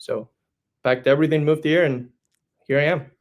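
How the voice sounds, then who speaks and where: Speaking at a very fast pace, a man talks with a Spanish accent. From Spain. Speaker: franchise business development director. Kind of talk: podcast interview.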